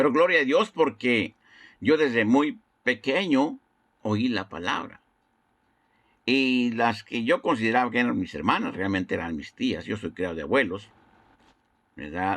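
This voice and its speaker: A man with a medium pitch and vocal fry speaks at a fairly slow pace, swinging very widely in pitch. He leaves long, frequent pauses against a quiet background. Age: 60s. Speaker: evangelist. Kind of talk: sermon. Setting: internet broadcast.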